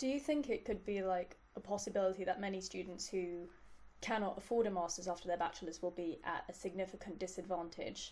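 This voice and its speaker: This woman talks at a fairly quick pace with medium pitch and ordinary pitch variation. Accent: London. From London, England. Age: 20s. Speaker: interviewer. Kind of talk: interview.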